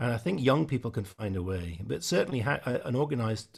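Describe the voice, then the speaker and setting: Vocal fry marks a man's speech, delivered at a fairly quick pace. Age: 60s. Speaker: musician. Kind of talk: online panel discussion.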